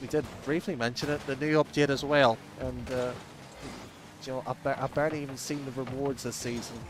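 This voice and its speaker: A man with an Irish accent and fairly even intonation. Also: medium pitch for a man, fairly quick pace. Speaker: esports commentator. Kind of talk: live commentary.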